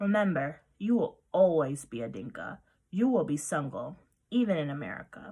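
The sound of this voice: Putting on a character voice, a woman speaks at a moderate pace in a low pitch with big pitch swings, a dark, mellow tone, a slightly husky edge and vocal fry.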